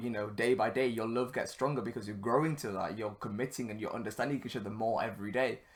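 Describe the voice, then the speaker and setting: A man at medium pitch with ordinary pitch variation, in a very clean recording with a silent background. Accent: northern English. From northern England. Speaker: podcast host. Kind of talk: solo podcast monologue. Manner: casual, filler-heavy.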